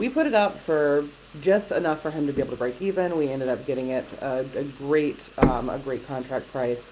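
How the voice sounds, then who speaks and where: A woman speaks at a fairly quick pace in a very deep, low voice, with ordinary pitch variation. Noticeable background noise is present. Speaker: real estate agent. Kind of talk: casual chat. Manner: fast talker; animated. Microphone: webcam.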